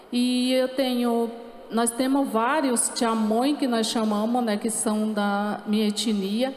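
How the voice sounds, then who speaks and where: In a room with audible echo and light background noise, a woman with a fairly high pitch speaks at a very slow pace, her intonation monotone and flat and her loudness very even. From Paraná coast, southern Brazil; Paraná, Brazil. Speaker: speaker. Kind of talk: panel talk. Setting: stage with audience. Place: stage. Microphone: handheld.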